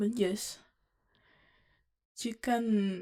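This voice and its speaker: Speaking at a very slow pace, a woman with a non-native accent has a medium-pitched voice and a dark, mellow tone. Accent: non-native English pronunciation. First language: not English. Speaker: vlogger. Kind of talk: casual monologue to camera. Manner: halting, many fillers.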